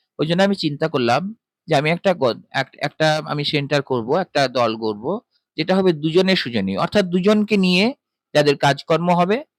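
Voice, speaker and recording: A man with an ordinary speaking voice, fairly high in pitch, lively intonation, a dry, close sound with no echo, and a very clean recording with a silent background. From West Bengal. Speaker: voice artist. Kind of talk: interview answer.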